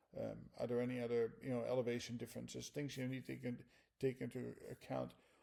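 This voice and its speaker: The speaker has a Dutch accent. The pace is very fast. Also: man. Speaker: flight instructor. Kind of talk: lecture. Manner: halting.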